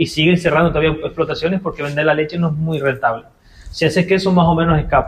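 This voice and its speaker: Fairly even intonation from a man pitched fairly high, at a very fast pace. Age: 30s. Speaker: goat farmer and cheesemaker. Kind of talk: radio interview. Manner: halting.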